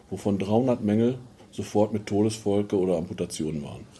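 At a moderate pace, a man speaks at a fairly low pitch with ordinary pitch variation and a dark, mellow tone. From Ruhr area, Germany (Dinslaken). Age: 50s. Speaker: mayoral candidate, former miner. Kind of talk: interview.

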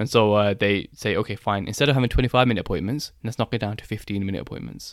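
Very fast speech from a man, pitch varying in an ordinary way. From England, Birmingham. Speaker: optometrist. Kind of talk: casual chat.

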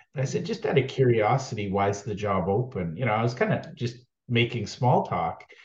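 Somewhat breathy, a man speaks at a medium pitch and a fairly quick pace with lively intonation. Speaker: podcast host. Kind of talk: interview, casual chat.

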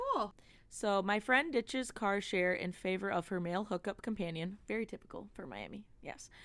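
A normal speaking voice at a moderate pace with ordinary pitch variation. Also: woman, medium pitch for a woman. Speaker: podcast host. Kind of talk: casual chat, reading listener emails.

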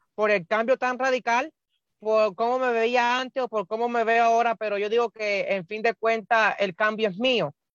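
Moderate speed and a fairly high pitch from a woman. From Cuba. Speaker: bariatric surgery patient. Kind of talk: interview. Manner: halting.

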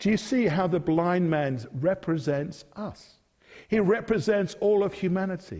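The speaker has an English accent and a dark, mellow tone, heard in a very clean recording against a silent background. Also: man. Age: 50s. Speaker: preacher. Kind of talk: sermon.

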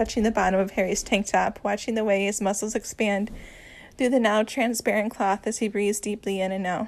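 With fairly even intonation, the reading voice sounds unforced.

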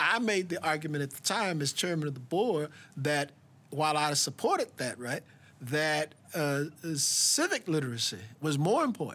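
Over noticeable background noise, a man with a Southern US accent speaks at a moderate pace, with a fairly high pitch and lively intonation. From US South. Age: 70s. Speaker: political scientist. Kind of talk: interview.

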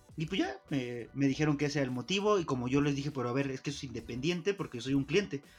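Over noticeable background noise, a man with a fairly high pitch talks in an animated tone at a very fast pace, with hardly any pauses and ordinary pitch variation. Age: 30s. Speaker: podcast co-host. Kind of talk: casual chat.

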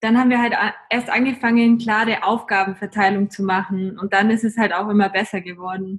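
At a medium pitch, a woman speaks in a monotone, flat intonation. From Germany, Augsburg (Bavarian Swabia). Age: 20s. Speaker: travel blogger. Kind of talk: casual interview.

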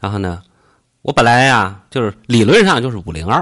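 The man has an unremarkable speaking voice at a medium pitch. He moves at a fairly quick pace against a quiet background. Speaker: podcast host. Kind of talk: casual chat. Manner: joking, playful.

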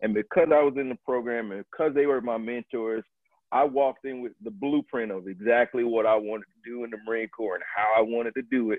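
Speaking at a fairly quick pace with an American accent, a man uses an unremarkable speaking voice at medium pitch with ordinary pitch variation. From US South, Tallahassee, Florida. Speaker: Marine Corps officer. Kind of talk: interview.

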